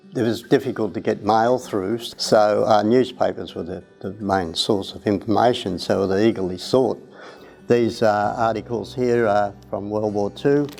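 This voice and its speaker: With music playing in the background, a man in an Australian accent speaks fairly slowly at a fairly low pitch, keeping his intonation fairly even. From Australia, Melbourne area. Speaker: volunteer. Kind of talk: personal reminiscence. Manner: halting, many fillers.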